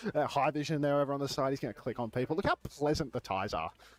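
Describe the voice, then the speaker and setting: In an Australian accent, a man talks very fast at a fairly high pitch with ordinary pitch variation, and the sound is dry and close with no echo. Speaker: esports co-streamer. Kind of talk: live stream chat. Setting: venue booth behind glass at esports arena. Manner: loud.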